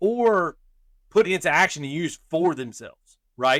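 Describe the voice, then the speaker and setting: Loud and fairly high-pitched, a man speaks with a bright, sharp tone and lively intonation in a dry, close sound with no echo. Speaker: podcast host. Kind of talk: casual chat.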